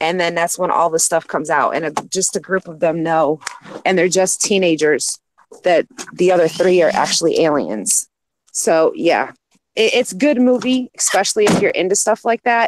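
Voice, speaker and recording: In an American accent, a woman speaks at medium pitch with lively intonation. The sound is dry and close, with no echo. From New York State, lived in Japan. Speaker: stream panelist. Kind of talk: casual chat. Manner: fast.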